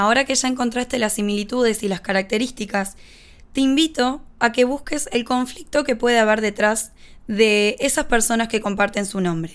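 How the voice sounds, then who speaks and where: On a very clean recording with a silent background, a woman with a Uruguayan accent talks at a moderate pace, her fairly high pitch showing ordinary variation. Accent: Rioplatense Spanish (Uruguayan). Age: 20s. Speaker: podcast host, personal development coach. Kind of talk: instructional monologue.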